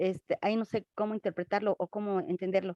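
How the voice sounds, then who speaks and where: A woman's dark, mellow voice at a moderate pace, ordinary pitch variation, in a dry, close sound with no echo. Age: 60s. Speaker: congregation member. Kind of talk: question in class. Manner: hesitant.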